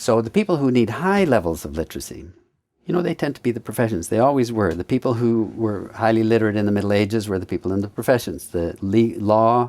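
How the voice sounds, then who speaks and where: A man with a Canadian accent talks fairly quickly at a fairly low pitch. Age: 60s. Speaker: professor. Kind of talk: interview. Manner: halting.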